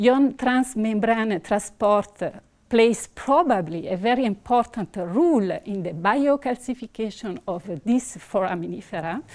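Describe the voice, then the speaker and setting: With an Italian accent, a woman speaks at a fairly high pitch using lively intonation. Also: fairly slow pace, quiet background. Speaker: researcher; presenter. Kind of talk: conference talk. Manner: halting. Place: hall.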